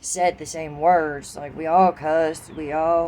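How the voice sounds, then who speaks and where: Her voice is very deep and low in pitch. The woman talks with an American accent. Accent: southern US accent, stronger when angry. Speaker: vlogger. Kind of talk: casual monologue vlog. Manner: casual, profane.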